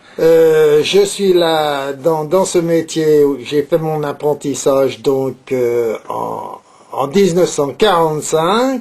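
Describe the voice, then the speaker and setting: This man's fairly high voice moves at a very slow pace with lively intonation. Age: 70s. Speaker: saddler, leather craftsman. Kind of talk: interview. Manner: hesitant, many filler words and repetitions.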